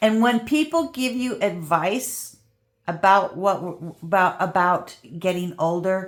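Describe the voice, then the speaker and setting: A woman's plain, everyday voice, fairly slow in pace, with lively intonation. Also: medium pitch for a woman. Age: 60s. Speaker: crafting youtuber. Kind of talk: casual chat. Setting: visiting a friend's house.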